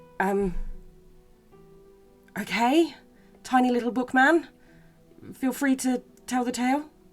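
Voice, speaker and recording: With music in the background, a woman speaks at a high pitch and a fairly slow pace, using ordinary pitch variation and long, frequent pauses. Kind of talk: casual talk to camera.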